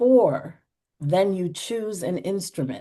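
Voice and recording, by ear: A woman's fairly low, dark, mellow voice with an American accent, lively intonation and a slow pace.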